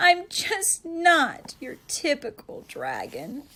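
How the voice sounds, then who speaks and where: A woman's put-on character voice, extremely high and very slow. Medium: read story.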